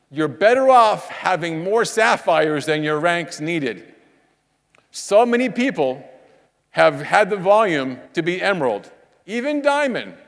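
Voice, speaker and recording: A man speaks with an animated tone at a fairly slow pace, his high pitch making very wide swings. Audible room echo surrounds his voice. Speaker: network marketing trainer. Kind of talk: motivational training talk on stage. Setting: stage with audience.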